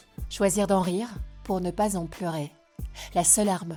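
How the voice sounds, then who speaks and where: A woman at a moderate pace, music in the background. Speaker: talk show host. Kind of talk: documentary-style intro narration.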